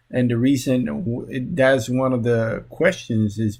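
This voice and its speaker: A man with a Spanish accent at a very slow pace, medium in pitch with ordinary pitch variation. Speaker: social work graduate student. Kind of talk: class presentation. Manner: halting, many fillers.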